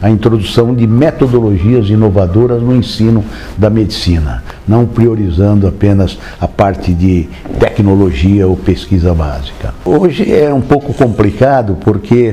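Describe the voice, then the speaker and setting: Through noticeable background noise, a man speaks at a fairly slow pace in a fairly low voice, with lively intonation and very even loudness. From Brazil, interior of São Paulo state (Marília). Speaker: physician. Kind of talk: oral history interview. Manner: hesitant, with many fillers.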